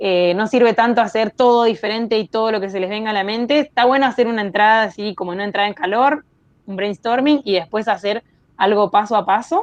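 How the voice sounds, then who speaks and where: A woman's fairly high voice with a Rioplatense accent, ordinary pitch variation and a fairly quick pace. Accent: Argentine Spanish (rioplatense). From Argentine Patagonia (Chubut). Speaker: industrial designer. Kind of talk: interview. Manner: hesitant, many fillers.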